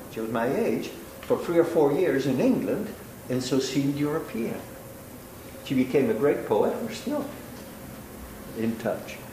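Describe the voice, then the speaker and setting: A man with a fairly high voice at a moderate pace, very wide pitch swings and long, frequent pauses, with audible room echo and noticeable background noise. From Italy. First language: Italian. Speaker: law professor and judge. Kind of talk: lecture.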